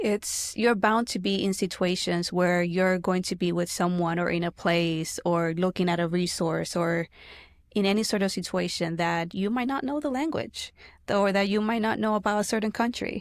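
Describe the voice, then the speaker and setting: The pace is moderate and the pitch varies in an ordinary way. A woman speaks with very even loudness. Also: medium pitch for a woman, very clean recording, silent background. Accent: Spanish. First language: Spanish. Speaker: family support navigator. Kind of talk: podcast interview.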